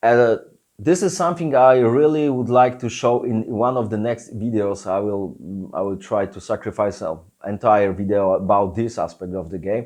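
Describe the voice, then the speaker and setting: A man at medium pitch speaks with lively intonation at a moderate pace. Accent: Polish. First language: Polish. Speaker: tabletop game designer and YouTuber. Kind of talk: Q&A video. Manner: halting, many fillers.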